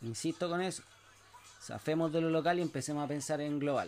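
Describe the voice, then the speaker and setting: A man at a fairly quick pace. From Chile. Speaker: podcast host, entrepreneur. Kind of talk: solo monologue, motivational talk. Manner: hesitant with fillers and restarts.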